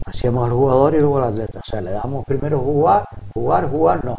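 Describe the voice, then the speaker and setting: Over noticeable background noise, a man talks at a fairly quick pace with medium pitch and ordinary pitch variation. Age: 70s. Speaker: retired PE teacher and handball coach. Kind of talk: TV interview. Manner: halting.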